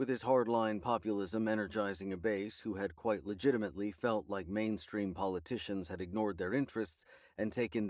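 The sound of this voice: Intonation stays fairly even throughout this unforced reading voice.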